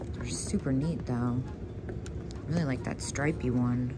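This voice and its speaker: A woman talks at a very slow pace. Behind her, music can be heard. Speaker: vintage reseller. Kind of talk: casual vlog chat. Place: shop. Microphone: phone near.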